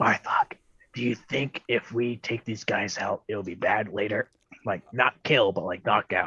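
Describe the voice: Whispering quietly in a raspy, put-on character voice, a man keeps a moderate pace.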